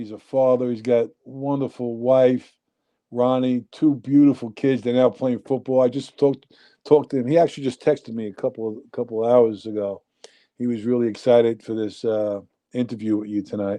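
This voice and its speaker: Talking at a fairly quick pace, a man with a dark, mellow tone and medium pitch keeps his intonation fairly even. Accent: New York. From New Jersey, Union City. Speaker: nightclub owner. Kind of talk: casual chat.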